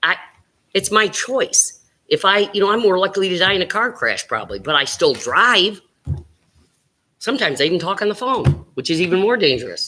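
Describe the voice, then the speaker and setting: The speaker has an animated tone and a fairly quick pace, with long, frequent pauses. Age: 60s. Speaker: school board member. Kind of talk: public meeting remarks.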